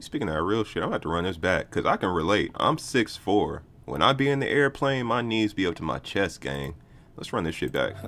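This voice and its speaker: With an American accent, a man speaks at a fairly low pitch and a fairly quick pace. His voice shows vocal fry and very wide pitch swings. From Kansas City. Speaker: streamer reviewing music submissions. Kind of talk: live stream reaction commentary. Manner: casual, slangy.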